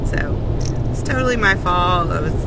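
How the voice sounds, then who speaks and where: Loud background noise runs under a woman's voice. There's no echo, so the sound stays dry. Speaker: vlogger. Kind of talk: casual vlog chat. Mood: disappointed but laughing it off. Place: car. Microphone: phone near.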